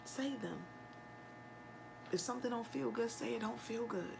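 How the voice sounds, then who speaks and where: A soft-spoken woman talks with audible room echo around her voice. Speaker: tarot reader. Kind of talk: tarot reading.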